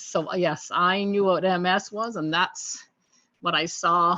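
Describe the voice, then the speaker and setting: With an unremarkable speaking voice, a woman talks at a fairly slow pace and with ordinary pitch variation. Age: 60s. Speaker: nurse with MS, interview guest. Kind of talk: casual interview. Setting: studio.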